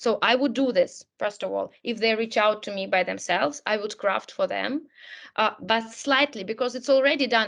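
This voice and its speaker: Someone speaks at a moderate pace with ordinary pitch variation over a quiet background. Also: woman. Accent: Russian. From Russia. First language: Russian. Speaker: career coach. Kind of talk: webinar talk.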